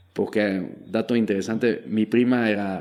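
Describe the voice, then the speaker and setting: A man speaks with a French accent in a fairly low voice, his pitch varying in an ordinary way. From Belgium. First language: French (speaking Spanish). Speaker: startup founder and investor. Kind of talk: interview.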